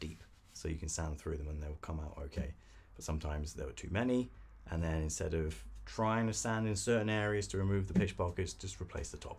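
Somewhat breathy, a man speaks with a very deep, low pitch. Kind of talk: casual workshop talk explaining practices. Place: workshop.

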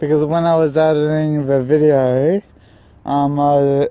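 Delivery comes at a very slow pace. The sound is dry, with no echo. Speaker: vlogger. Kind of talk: casual vlog chat. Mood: nervous, spooked. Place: open country. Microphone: phone near.

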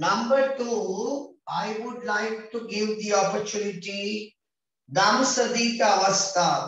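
A man with a Sri Lankan accent speaks at a high pitch and a very slow pace. Strong room echo surrounds his voice. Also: fairly even intonation. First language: Sinhala. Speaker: English teacher for grade 6 pupils; teacher. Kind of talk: online class lesson. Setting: video call. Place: home room. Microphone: video call.

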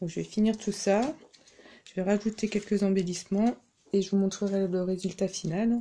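Long, frequent pauses break up a woman's speech. Her tone is dark and mellow, with fairly even intonation. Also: moderate pace. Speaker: crafting YouTuber. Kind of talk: tutorial. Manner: soft-spoken. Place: home room. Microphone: camera far.

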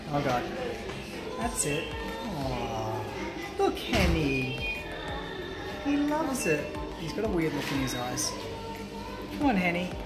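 Loud music plays in the background as a man talks at a fairly slow pace. He leaves long, frequent pauses. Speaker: travel vlogger. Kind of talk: casual vlog chat. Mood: excited, slightly nervous. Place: cafe. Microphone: phone near.

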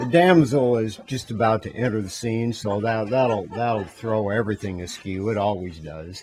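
A man with an unremarkable speaking voice talks at a moderate pace in a fairly low pitch with ordinary pitch variation and hardly any pauses, over light background noise. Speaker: voice actor. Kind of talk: casual talk in recording session. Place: booth.

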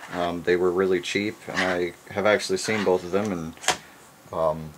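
A man speaks with a very deep, low pitch. Noticeable background noise can be heard. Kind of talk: casual vlog chat. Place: home room.

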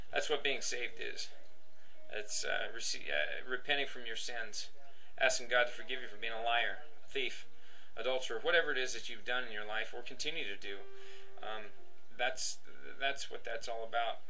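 A man with ordinary pitch variation and long, frequent pauses. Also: moderate pace. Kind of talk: personal testimony, casual monologue. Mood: earnest, emotional. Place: home room. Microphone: webcam.

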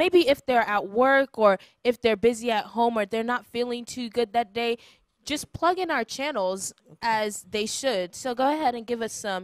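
A woman at a fairly high pitch, animated in tone, at a moderate pace with ordinary pitch variation, in a dry sound with no echo and a quiet background. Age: 20s. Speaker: church program host. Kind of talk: welcome announcements; casual chat. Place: studio. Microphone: handheld.

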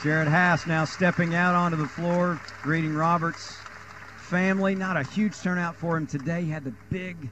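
A man with a fairly high pitch speaks amid noticeable background noise. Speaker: live sports commentator. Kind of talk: live play-by-play basketball commentary, rapid-fire calling of shots and passes. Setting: arena, broadcasting from the game.

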